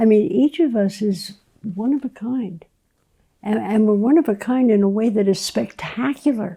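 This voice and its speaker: A woman with a fairly high pitch speaks in a dark, mellow tone that is somewhat breathy. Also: lively intonation, moderate pace. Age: 80s. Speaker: physician and medical educator. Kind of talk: casual chat. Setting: live conversation.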